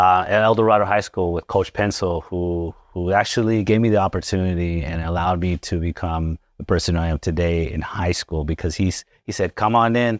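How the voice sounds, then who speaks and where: A man with a Spanish accent talks at a fairly quick clip in a very deep, low voice, keeping a fairly even intonation and hardly pausing at all. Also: dry, close sound with no echo. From Las Vegas, Nevada, Mexican-American family. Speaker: chiropractor. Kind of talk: interview. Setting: chiropractic office, live.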